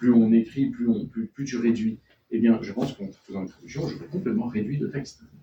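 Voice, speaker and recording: At a moderate pace, a man with a medium-pitched, dark, mellow and somewhat breathy voice speaks with lively intonation. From born in France to Chilean and Venezuelan parents, raised abroad in French schools. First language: Spanish (speaking French). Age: young. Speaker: novelist. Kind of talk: bookshop author talk. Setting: bookshop event with audience.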